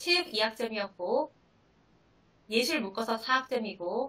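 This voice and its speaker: In a fairly high, bright and sharp voice, a woman speaks at a fairly slow pace. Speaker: high school math teacher. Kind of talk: seminar presentation.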